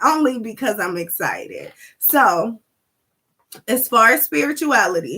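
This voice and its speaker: Loud and animated, a woman speaks at a moderate pace with a high, bright, sharp tone and very wide pitch swings. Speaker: spiritual talk livestreamer. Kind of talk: livestream talk. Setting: live stream.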